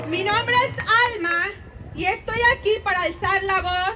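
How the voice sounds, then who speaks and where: A woman projects her raised voice at an extremely high pitch, with ordinary pitch variation and a fairly slow pace. Noticeable background noise and audible room echo are present. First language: Spanish. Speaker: protest speaker. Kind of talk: rally speech.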